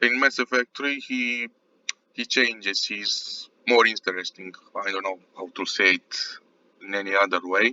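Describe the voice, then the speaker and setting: A man has a plain, everyday voice at a medium pitch. He talks at a moderate pace with ordinary pitch variation. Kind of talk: casual video game commentary.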